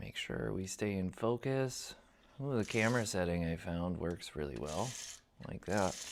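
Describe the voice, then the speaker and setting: Soft-spoken, with a very deep, low pitch and lively intonation, a man talks at a moderate pace on a very clean recording with a silent background. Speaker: woodturner testing a wireless mic. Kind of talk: casual workshop talk. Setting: workshop at a lathe.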